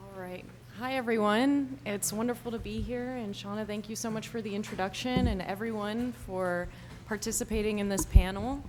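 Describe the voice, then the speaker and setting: A quiet woman speaks at a moderate pace with a fairly high pitch and ordinary pitch variation, her loudness swinging widely over music in the background. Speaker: whistleblower and nonprofit founder. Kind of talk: opening remarks. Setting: live event with audience.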